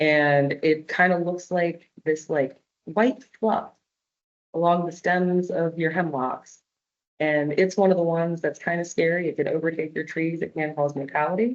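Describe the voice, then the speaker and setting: Her voice is an unremarkable speaking voice, fairly low in pitch. The woman speaks at a moderate pace with ordinary pitch variation. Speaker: arborist giving a public talk. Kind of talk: presentation with audience Q&A. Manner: casual, many fillers.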